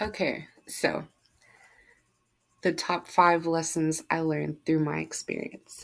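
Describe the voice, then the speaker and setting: This woman has a fairly low pitch and a monotone, flat intonation. She speaks at a very slow pace with long, frequent pauses. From Germany. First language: German. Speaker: speech pathology student. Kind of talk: student presentation.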